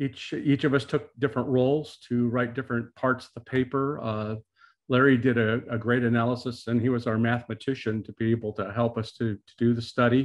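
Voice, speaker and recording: A man at a fairly quick pace with monotone, flat intonation, against a quiet background. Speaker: presenter. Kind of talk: presentation talk. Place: home room. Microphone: video call.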